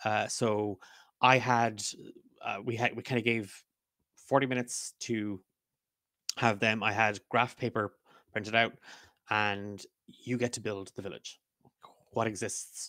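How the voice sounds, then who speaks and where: Over a quiet background, a man talks at a fairly slow pace with a bright, sharp tone and fairly even intonation, leaving long, frequent pauses, and the sound is dry with no echo. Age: 30s. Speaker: podcast co-host and game master; podcast co-host. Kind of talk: casual chat. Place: home room. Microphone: studio mic.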